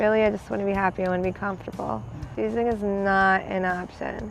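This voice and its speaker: An American accent and fairly even intonation, with music in the background. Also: woman. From Pennsylvania, Bethlehem. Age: 20s. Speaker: person in addiction recovery. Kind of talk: personal testimony interview. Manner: halting.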